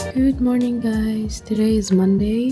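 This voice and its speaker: Background music plays beneath a woman's speech. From Tunisia. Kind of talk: casual vlog talk to camera.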